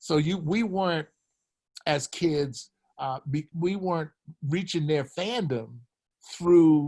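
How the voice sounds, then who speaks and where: Spoken with an American accent, the voice is somewhat breathy. Its pace is fairly slow. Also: man. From Philadelphia, US. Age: 80s+. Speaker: retired basketball coach. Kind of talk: casual chat.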